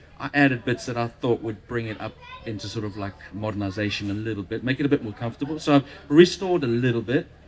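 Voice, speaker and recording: A man talks at a very fast pace with ordinary pitch variation. His loudness swings widely, over noticeable background noise. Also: medium pitch for a man. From South Africa. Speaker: Land Rover owner and overlander. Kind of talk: casual chat. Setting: live recording in a beer tent at a show.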